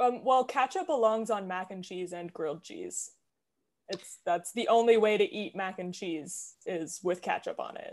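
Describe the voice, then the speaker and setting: In a plain, everyday voice, a woman with a Canadian accent talks at a moderate pace, her fairly high pitch moving in lively intonation as her loudness swings widely against a quiet background. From Canada. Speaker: mental health professional and actor. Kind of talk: casual interview chat.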